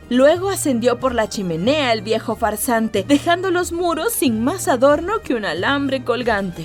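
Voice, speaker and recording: A woman speaks fairly slowly in a high voice with very wide pitch swings and an upbeat tone. Music plays in the background. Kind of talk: children's story reading.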